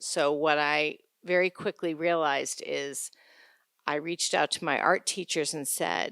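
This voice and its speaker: A woman with an American accent and very deep, low pitch, monotone and flat, at a fairly slow pace, with a dry, close sound with no echo on a very clean recording with a silent background. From upstate New York. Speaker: school board candidate. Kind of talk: candidate forum statement. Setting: town-hall forum with audience.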